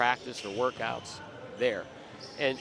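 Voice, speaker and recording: A man's medium-pitched voice, ordinary pitch variation, noticeable background noise behind him. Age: 60s. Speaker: college basketball coach. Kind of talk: casual interview. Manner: halting, many repeated words.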